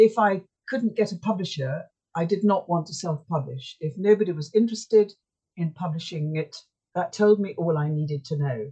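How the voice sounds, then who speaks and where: A woman speaks at a moderate pace in a somewhat breathy voice with a dark, mellow tone and lively intonation. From Yorkshire, England. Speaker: author and sailor. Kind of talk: casual interview.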